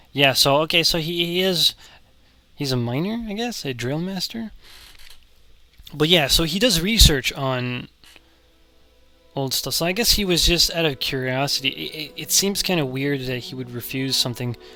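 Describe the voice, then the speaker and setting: A man talks at a moderate pace in a fairly high voice with lively intonation and long, frequent pauses. Music plays in the background. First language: French. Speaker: video game commentator. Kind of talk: let's play commentary. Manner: halting, repeats words.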